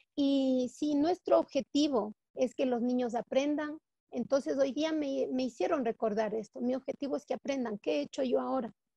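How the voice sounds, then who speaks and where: A woman speaks at a moderate pace in a high voice with a dark, mellow tone and ordinary pitch variation, the sound dry with no echo over a quiet background. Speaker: teacher. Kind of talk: personal testimony in online class discussion. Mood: warm, moved, heartfelt. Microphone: video call.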